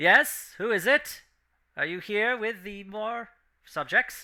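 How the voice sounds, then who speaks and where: A man's put-on, robotic character voice, high in pitch, at a fairly slow pace with big swings in loudness. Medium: actual play.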